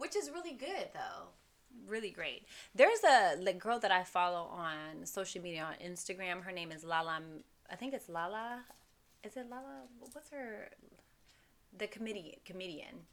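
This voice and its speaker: Speaking in an American accent at a moderate pace, a woman of medium pitch uses lively intonation, with long, frequent pauses and big swings in loudness. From US South, Texas. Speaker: podcast co-host. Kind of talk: casual chat.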